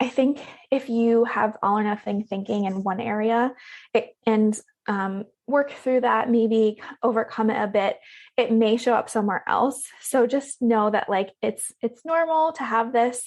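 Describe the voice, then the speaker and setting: At a fairly slow pace, a woman speaks in a breathy, fairly high voice with ordinary pitch variation. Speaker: health coach. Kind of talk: podcast interview. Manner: breathy pauses.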